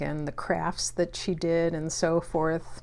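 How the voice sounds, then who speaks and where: A woman speaks at a very slow pace. Her pitch is fairly low and her intonation is monotone and flat. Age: 60s. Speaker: booktuber. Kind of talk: casual vlog talk. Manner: hesitant, many fillers.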